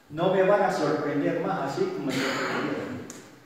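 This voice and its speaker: A man at a fairly slow pace, with strong room echo and light background noise. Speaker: assault victim giving testimony. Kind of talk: public testimony at a community meeting. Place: hall.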